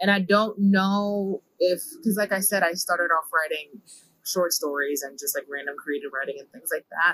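A woman with an American accent speaks at a moderate pace and medium pitch, with a bright, sharp tone. Her pitch varies in an ordinary way, and her loudness swings widely. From New York (Bronx). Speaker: church youth leader and poet. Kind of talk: casual interview.

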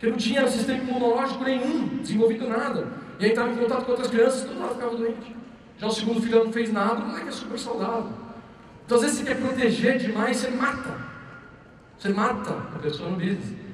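A man talks at a very fast pace with an extremely high pitch and fairly even intonation. The recording has noticeable background noise and audible room echo. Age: 30s. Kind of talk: motivational talk. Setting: stage with audience.

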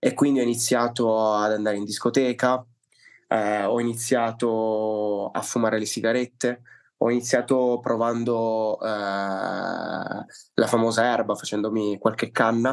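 Over a quiet background, a man speaks fairly slowly at a medium pitch with flat, monotone intonation. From Liguria, northern Italy. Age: 20s. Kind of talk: testimony.

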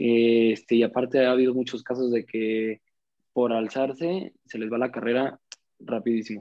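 A man with a normal speaking voice, medium pitch, fairly even intonation and a fairly slow pace. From Mexico, Ciudad Juárez. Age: young. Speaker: footballer. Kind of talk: casual interview.

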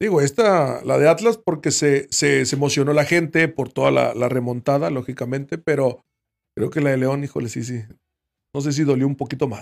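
A man talks in a normal speaking voice at a moderate pace. His pitch is fairly high, with ordinary variation. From Mexico, Veracruz. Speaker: retired footballer. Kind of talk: casual chat.

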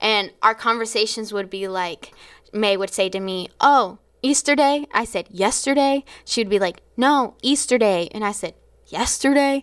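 A woman's ordinary speaking voice at a moderate pace, fairly high in pitch with ordinary pitch variation, in a very clean recording with a silent background. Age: 20s. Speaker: church worship leader. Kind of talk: casual interview testimony.

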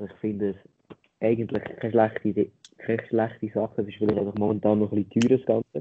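Talking very fast, a man with a fairly low pitch keeps a monotone, flat intonation while his loudness swings widely. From Switzerland, Lucerne hinterland. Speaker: podcast co-host. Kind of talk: casual chat.

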